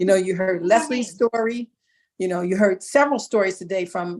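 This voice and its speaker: At a medium tempo, the woman uses an unremarkable speaking voice, her pitch shifting in an ordinary way. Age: 60s. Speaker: model and actor talent. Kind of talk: motivational talk.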